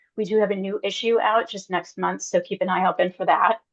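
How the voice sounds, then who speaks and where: It is an ordinary speaking voice with fairly even intonation. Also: woman. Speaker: journal managing editor. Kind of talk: webinar presentation.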